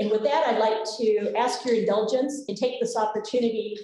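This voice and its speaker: Light background noise and audible room echo accompany a woman talking at a fairly quick pace. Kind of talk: welcome speech. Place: hall. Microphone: podium.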